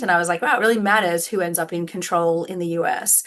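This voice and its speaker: Speaking very fast with an Australian accent, a woman uses a bright, sharp tone, a fairly low pitch and fairly even intonation. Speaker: law professor. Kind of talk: podcast interview. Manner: casual, many fillers.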